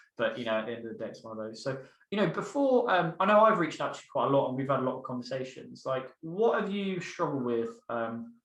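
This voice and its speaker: Amid audible room echo, a man at medium pitch races along at a very fast pace with hardly any pauses, very wide pitch swings and big swings in loudness. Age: 20s. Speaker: mentoring coach. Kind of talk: casual interview.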